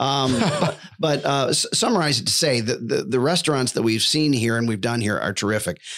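A man talks at a fairly quick pace with hardly any pauses and very even loudness. It's an ordinary speaking voice at medium pitch. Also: lively intonation. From Buffalo, New York. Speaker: voiceover artist. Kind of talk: casual interview. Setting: studio.

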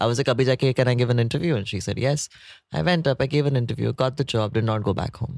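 A man talks at a very fast pace with medium pitch and ordinary pitch variation. The recording is very clean with a silent background. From India, Nagpur. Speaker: beauty influencer and actor. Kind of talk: casual chat. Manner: animated.

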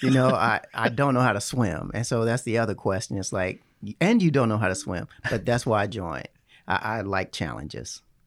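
Speaking at a fairly quick pace and medium pitch, a man with an American accent uses lively intonation and vocal fry in a very clean recording with a silent background. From Chicago and Southern Illinois. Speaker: Navy veteran, VA trainer. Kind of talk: casual interview.

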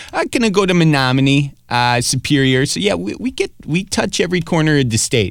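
A man with a slight Wisconsin accent speaks at a fairly quick pace with hardly any pauses. His fairly high pitch moves in very wide swings. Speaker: comedian and web show host. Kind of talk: casual interview chat. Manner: halting, filler-heavy.

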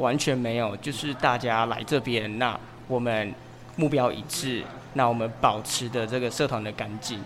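Noticeable background noise and audible room echo surround a man speaking at a moderate pace, his pitch medium and his intonation fairly even. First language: Mandarin. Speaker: English teacher and study group organizer. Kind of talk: interview. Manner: halting.

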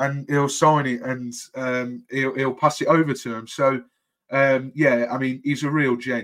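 In a Birmingham accent, a man speaks at a fairly slow pace with a medium pitch and monotone, flat intonation. The recording is very clean, with a silent background. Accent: Brummie. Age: 20s. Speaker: football podcast co-host. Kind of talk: casual chat.

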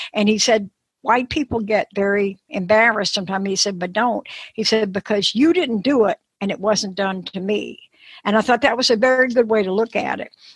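Speaking at a fairly quick pace, a woman with a fairly high, somewhat breathy voice uses ordinary pitch variation in a dry, close sound with no echo. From New Orleans. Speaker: travel writer. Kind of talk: interview.

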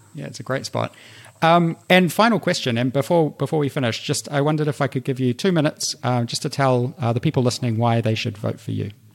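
Very fast speech in a New Zealand accent, with ordinary pitch variation. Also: man, medium pitch for a man. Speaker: podcast host. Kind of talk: interview.

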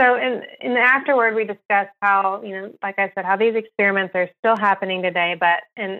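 A woman with a normal speaking voice, medium pitch, ordinary pitch variation and a moderate pace. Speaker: research scientist at an animal rights group. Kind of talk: interview.

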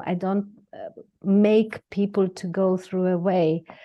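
A woman with a Greek accent speaks at a medium pitch in a monotone, flat intonation. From Greece. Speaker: dentist and lecturer. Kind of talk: interview, conversational. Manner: quiet, measured.

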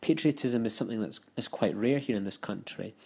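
Against a quiet background, a man with a Scottish accent speaks at medium pitch with ordinary pitch variation. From Scotland. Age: 20s. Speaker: listener sending voicemail. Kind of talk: voicemail feedback.

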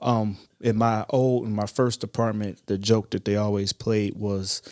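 A man with an American accent speaks in a monotone, flat intonation, the sound dry and close with no echo. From Ohio. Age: 30s. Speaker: firefighter and paramedic, author. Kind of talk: interview. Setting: studio.

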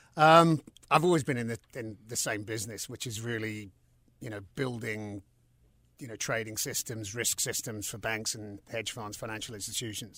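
A man with a southern English accent speaks at a moderate pace in a bright, sharp tone. The recording is very clean, and the background is silent. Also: medium pitch for a man, ordinary pitch variation, big swings in loudness. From London and South East England. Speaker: company CEO. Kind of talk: interview. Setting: studio.

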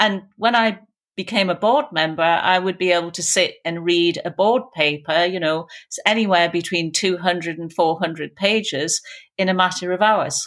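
A woman speaks in a Geordie accent at a fairly low pitch. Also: ordinary pitch variation, fairly slow pace. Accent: Geordie, north-east English. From Newcastle, north-east England. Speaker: business executive. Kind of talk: interview conversation.

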